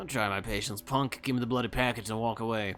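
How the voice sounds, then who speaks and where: A man speaks very fast in a nasal, put-on character voice at a medium pitch, with clear music playing in the background. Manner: threatening.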